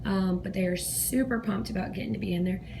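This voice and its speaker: A woman with an American accent talks while noticeable background noise carries on behind her. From South Georgia, US. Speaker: kindergarten teacher. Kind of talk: casual classroom tour narration. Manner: whispered.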